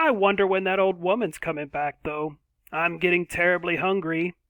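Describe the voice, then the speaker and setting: A man puts on a character voice pitched high. He talks at a moderate pace. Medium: read story.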